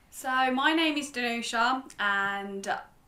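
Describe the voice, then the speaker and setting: Lively intonation marks a woman's speech, heard with audible room echo. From Italy. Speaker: YouTuber. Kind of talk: casual chat.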